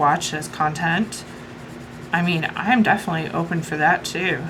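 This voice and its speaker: A woman with an American accent speaks at a medium pitch, with audible room echo and noticeable background noise. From US Midwest. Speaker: coloring YouTuber. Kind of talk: casual chat. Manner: chatty, filler-heavy.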